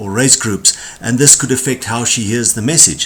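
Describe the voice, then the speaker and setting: A man speaks with a South African accent and lively intonation, with noticeable background noise behind him. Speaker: corporate trainer. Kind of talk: tutorial.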